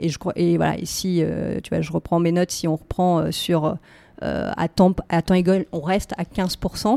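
Very slowly, a woman speaks in a fairly low pitch with a dark, mellow tone. The sound is dry and close with no echo, and the recording is very clean with a silent background. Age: 30s. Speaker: recruitment agency co-founder. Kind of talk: casual interview.

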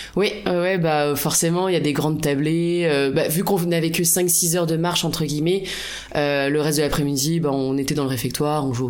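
At a fairly quick pace, a woman with a very deep, low voice speaks in fairly even intonation, with audible room echo and noticeable background noise. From France, La Rochelle. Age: 30s. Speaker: hiker sharing a travel story. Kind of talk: casual interview.

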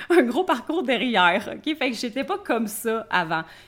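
The pace is moderate. A woman speaks with lively intonation. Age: 30s. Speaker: life coach and entrepreneur. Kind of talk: interview. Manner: casual.

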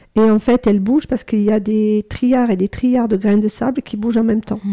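Fairly high-pitched woman's voice, dark and mellow in tone. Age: 60s. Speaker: psychotherapist and trainer. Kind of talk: interview. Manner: halting.

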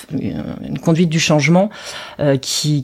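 A woman speaks with fairly even intonation. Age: 40s. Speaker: marketing executive. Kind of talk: interview. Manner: halting, many repetitions.

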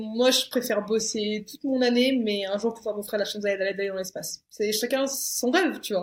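Using a normal speaking voice, a woman talks at a moderate pace with hardly any pauses. Her pitch is fairly high and varies in an ordinary way. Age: 20s. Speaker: media founder. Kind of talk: casual chat.

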